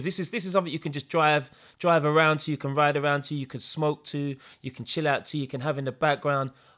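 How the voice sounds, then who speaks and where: A man with a London accent talks at a very fast pace in a bright, sharp tone, fairly high-pitched with fairly even intonation. The recording is very clean, with a silent background. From East London. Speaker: podcast co-host. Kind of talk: casual chat.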